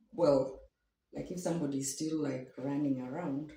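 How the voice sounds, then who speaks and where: Her voice is a woman's, pitched very deep and low. Audible echo fills the room. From Kenya. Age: 60s. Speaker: matchmaking show guest. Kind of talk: interview. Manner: halting.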